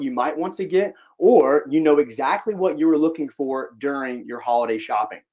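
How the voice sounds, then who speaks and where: A man with a Southern US accent speaks at a fairly quick pace. His voice is fairly high and shows ordinary pitch variation. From US South, Georgia. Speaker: sales executive. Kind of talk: webinar presentation. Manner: casual with frequent fillers.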